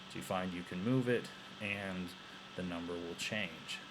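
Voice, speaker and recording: A man with a very deep, low voice speaks at a fairly slow pace, and audible room echo surrounds him. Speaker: teacher. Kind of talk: tutorial. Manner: halting.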